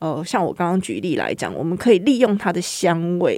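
A woman speaks at a moderate pace with medium pitch, very wide pitch swings and vocal fry. The recording is very clean, with a silent background. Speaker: horticultural therapist. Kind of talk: interview.

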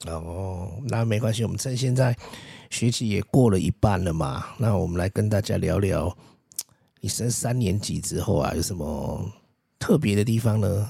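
Somewhat breathy and dark, mellow in tone, a man speaks at a fairly low pitch and a moderate pace with ordinary pitch variation. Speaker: podcast host, parent interviewing child. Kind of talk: casual chat. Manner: animated.

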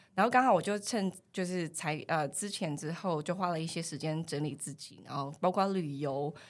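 The speaker has a plain, everyday voice, moving at a moderate pace with ordinary pitch variation. The recording is very clean, with a silent background. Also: woman. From mainland China, Fujian. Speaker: human resources professional. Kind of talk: casual interview chat.

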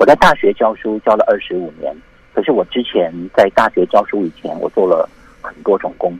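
There is noticeable background noise but a dry, close sound with no echo. A man speaks at a moderate pace. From Taiwan, military dependents' village. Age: 50s. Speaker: calligrapher and university lecturer. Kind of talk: interview.

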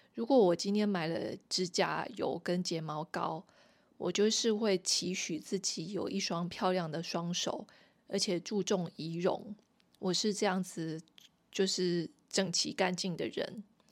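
Speaking at a fairly slow pace, a woman with a medium pitch and ordinary pitch variation is heard on a very clean recording with a silent background. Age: 40s. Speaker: podcast host. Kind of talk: casual solo monologue. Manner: halting, many fillers.

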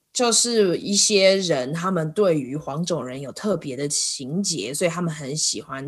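A woman with a fairly low pitch and lively intonation, at a fairly slow pace with hardly any pauses. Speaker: podcast host. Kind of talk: casual interview chat. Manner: laughs a lot.

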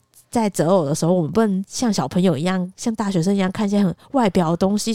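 A woman speaks very fast at a medium pitch, with ordinary pitch variation and a dark, mellow tone. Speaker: podcast co-host. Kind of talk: casual chat.

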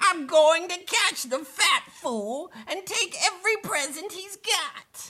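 A put-on character voice at an extremely high pitch, growling at a fairly slow pace. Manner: snarling, nasty.

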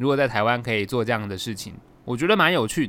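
Talking at a very fast pace, this man has a medium pitch. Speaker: voice actor and podcast host. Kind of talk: casual solo podcast monologue. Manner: animated.

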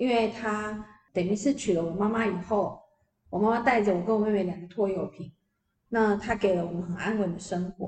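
At a fairly quick pace, a woman with a plain, everyday voice talks at a medium pitch with fairly even intonation. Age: 50s. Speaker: PR agency founder and author. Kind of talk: interview.

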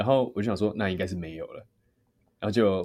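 A man talks at a fairly quick pace in a fairly low pitch. The recording is very clean, with a silent background. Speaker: singer. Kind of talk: interview.

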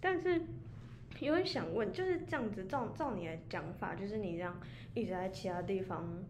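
A woman's fairly quick delivery rings with audible room echo. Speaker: podcast co-host. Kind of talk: casual chat.

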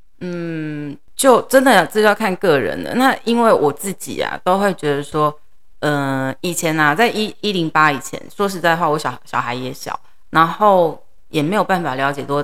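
This woman has an ordinary speaking voice, fairly low in pitch. She talks at a moderate pace with lively intonation. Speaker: middle school English teacher. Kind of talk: interview.

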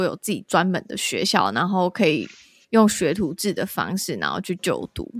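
A woman talks at a moderate pace against a silent background in a very clean recording. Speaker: podcast host. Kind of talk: interview.

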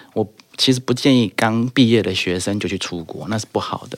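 Talking at a very fast pace, this man uses ordinary pitch variation. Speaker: guest sharing study-abroad experience. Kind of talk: casual chat.

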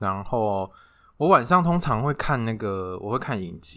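In a very clean recording with a silent background, a man of medium pitch speaks at a fairly slow pace, his voice making very wide pitch swings. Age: 30s. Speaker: podcast co-host. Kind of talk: casual chat.

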